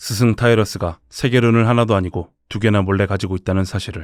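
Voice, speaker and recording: Over music in the background, a man talks at a very fast pace in a fairly low pitch with fairly even intonation. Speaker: voice actor. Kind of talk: game lore story narration.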